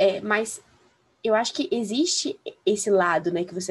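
Speaking at a fairly slow pace with lively intonation, a woman has a plain, everyday voice at medium pitch. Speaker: law student. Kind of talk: casual chat.

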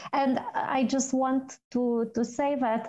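Speaking at a very slow pace, a woman with a Romanian accent has a dark, mellow tone. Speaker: PR manager and co-host. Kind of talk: interview. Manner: hesitant, many fillers.

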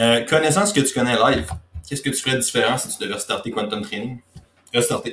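With a Quebec accent, a man talks at a very fast pace in a medium pitch, his intonation lively. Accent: Québécois French. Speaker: podcast host, fitness coach. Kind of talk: casual interview.

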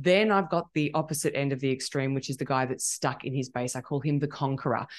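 Against a quiet background, the speech runs very fast with fairly even intonation. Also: woman. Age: 40s. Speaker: life coach. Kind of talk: casual chat.

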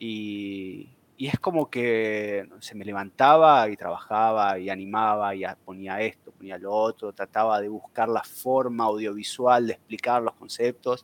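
Recorded very cleanly with a silent background and a dry, close sound with no echo, a man with an Argentine accent speaks at a medium pitch with ordinary pitch variation. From Argentina, Buenos Aires. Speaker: researcher on cryptocurrencies, audiovisual animator. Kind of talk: casual chat.

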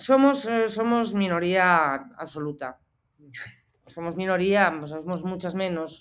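Speaking at a very slow pace with long, frequent pauses, a woman uses a medium pitch and lively intonation. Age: 40s. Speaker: photojournalist. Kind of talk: interview. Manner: halting.

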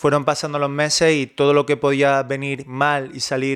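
Fairly slow delivery in a monotone, flat intonation. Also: man. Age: 30s. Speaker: online fitness coach. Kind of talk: personal monologue.

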